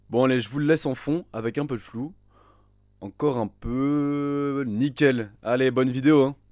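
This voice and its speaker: At a fairly slow pace, a man speaks at a medium pitch with ordinary pitch variation in a very clean recording with a silent background. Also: long, frequent pauses. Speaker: programming tutorial youtuber. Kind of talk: tutorial. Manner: casual, joking.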